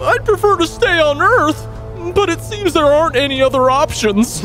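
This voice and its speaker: A cartoonish character voice moves at a moderate pace over clear music in the background. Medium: puppet show. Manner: fretful, prim.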